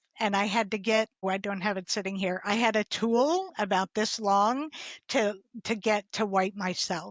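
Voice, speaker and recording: A woman's normal speaking voice at a medium pitch and a fairly slow pace. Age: 60s. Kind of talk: interview answer.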